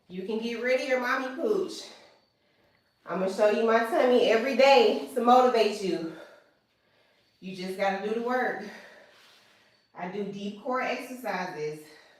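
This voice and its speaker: Energetic and fairly high in pitch, a woman speaks with long, frequent pauses and big swings in loudness amid audible room echo. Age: 30s. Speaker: fitness instructor. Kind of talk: live workout instruction. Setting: home basement, livestream. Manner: energetic, motivational.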